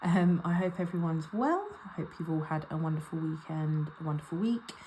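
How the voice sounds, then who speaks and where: A woman speaks with an English accent. Her pitch is very deep and low. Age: 30s. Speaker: budgeting vlogger. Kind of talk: casual vlog talk to camera. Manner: casual with frequent ums.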